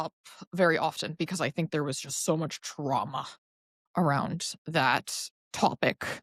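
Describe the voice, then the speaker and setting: A woman with an American accent and a plain, everyday voice speaks with lively intonation on a very clean recording, with a silent background and a dry, close sound with no echo. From Chicago, US Midwest. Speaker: poet. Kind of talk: interview conversation. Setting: podcast interview. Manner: frequent fillers like um.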